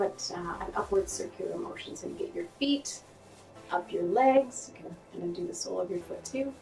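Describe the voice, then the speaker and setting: Over noticeable background noise, a woman's voice makes big swings in loudness. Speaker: holistic nutritionist and health show host. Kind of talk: tutorial. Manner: casual, friendly direct address; slightly quick pace during demonstration.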